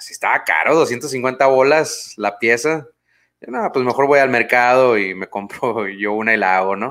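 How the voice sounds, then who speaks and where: On a very clean recording with a silent background, a man with a Mexican accent speaks in a relaxed tone at a medium pitch and moderate pace, with big swings in loudness. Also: ordinary pitch variation. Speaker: podcast host. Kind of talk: casual chat. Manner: relaxed, informal.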